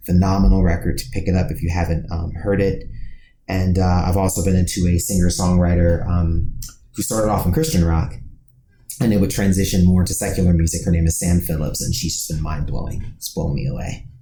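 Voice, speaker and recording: A man with a very deep, low pitch and a dark, mellow, somewhat breathy tone talks at a fairly quick pace with fairly even intonation, and the room's echo is audible. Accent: American. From US Midwest, Dayton Ohio. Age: 30s. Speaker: podcast co-host, music writer. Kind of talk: casual podcast interview.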